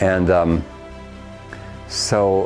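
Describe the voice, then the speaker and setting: Over music in the background, a man speaks with a very deep, low pitch and fairly even intonation. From Ohio, USA. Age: 70s. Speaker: singing teacher, former opera singer. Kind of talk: interview answer.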